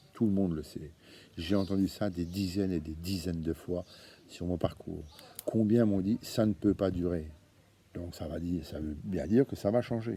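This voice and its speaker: A man's very deep, low voice at a moderate pace, with long, frequent pauses, big swings in loudness and ordinary pitch variation. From Franche-Comté, eastern France. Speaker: association founder, activist. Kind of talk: monologue video address. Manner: hesitant, many fillers and repetitions.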